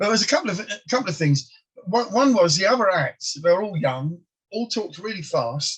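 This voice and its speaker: A high-pitched man with an English accent, fairly quick pace and very wide pitch swings. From England, Polish immigrant family. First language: Polish. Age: 60s. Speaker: comedian. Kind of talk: interview. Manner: halting.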